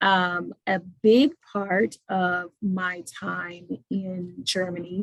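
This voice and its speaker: A woman's somewhat breathy, fairly low voice with an American accent and fairly even intonation, in a dry, close sound with no echo. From Indiana, US Midwest. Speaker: attorney. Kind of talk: webinar self-introduction.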